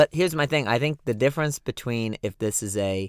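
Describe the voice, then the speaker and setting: A man with an ordinary speaking voice, medium pitch and ordinary pitch variation is heard on a very clean recording with a silent background. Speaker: podcast host. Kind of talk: casual banter, music discussion podcast. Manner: joking, playful.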